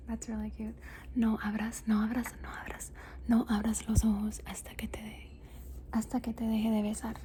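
The pace is fairly quick. Noticeable background noise can be heard. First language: Spanish. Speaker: ASMR content creator. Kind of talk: ASMR show and tell. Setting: home room, ring light. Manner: soft-spoken with repeated trigger words.

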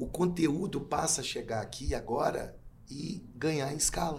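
A man's voice carries audible room echo. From Brazil, Belo Horizonte. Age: 50s. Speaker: event producer and cultural manager. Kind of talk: casual chat. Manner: halting, many fillers and repetitions.

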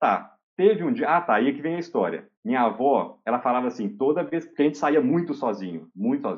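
Talking at a fairly quick pace with hardly any pauses, a man uses a fairly high pitch and very wide pitch swings. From Minas Gerais, Brazil (Oliveira, interior). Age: 30s. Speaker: university professor. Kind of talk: casual interview chat, personal storytelling.

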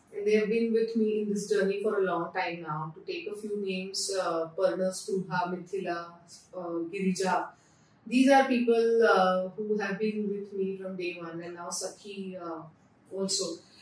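At a fairly slow pace, a woman with a Marathi Indian accent speaks at a medium pitch with fairly even intonation and big swings in loudness. Audible room echo and noticeable background noise surround her. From India, Pune (Maharashtra). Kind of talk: interview. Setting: in her store.

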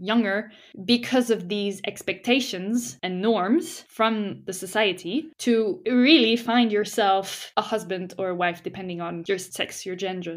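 An unremarkable speaking voice from a woman, medium in pitch, with ordinary pitch variation, a moderate pace, and a very clean recording over a silent background. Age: 20s. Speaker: podcast co-host. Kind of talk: casual chat.

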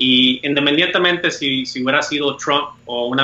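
Noticeable background noise sits behind a man speaking at a medium pitch. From Puerto Rico. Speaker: lawyer and independence activist. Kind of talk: interview conversation. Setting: video call.

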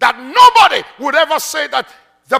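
The speaker's raised, projected voice has an animated tone and very wide pitch swings at a fairly slow pace. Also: man. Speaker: preacher. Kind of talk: sermon. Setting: church. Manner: animated, urgent, call-and-response exhortation; punchy, laughing, conversational.

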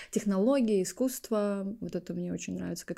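Very fast speech from a woman with a dark, mellow tone. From Estonia, small town. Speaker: podcast co-host, content producer. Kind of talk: casual chat.

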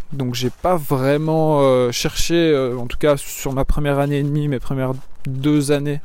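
Here a man speaks at a fairly slow pace. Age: 20s. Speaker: fitness coach. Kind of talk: casual monologue. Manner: halting.

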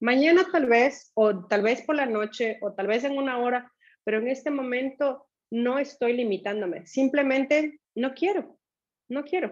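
A high-pitched woman's voice with ordinary pitch variation, at a fairly slow pace. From Ecuador. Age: 40s. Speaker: finance director and former coaching client. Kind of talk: casual interview testimony. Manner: halting.

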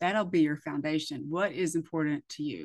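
A plain, everyday voice: a woman with an American accent, fairly low in pitch, at a fairly quick pace. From US, military bases. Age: 50s. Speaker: podcast host. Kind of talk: casual interview chat.

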